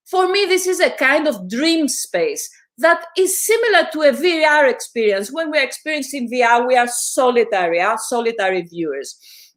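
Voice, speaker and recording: Speaking at a moderate pace with a Greek accent, this voice makes very wide pitch swings and hardly any pauses. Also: woman, high pitch for a woman. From Greece. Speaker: visual artist and filmmaker. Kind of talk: academic talk. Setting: online panel stream. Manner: hesitant, with fillers and repetitions.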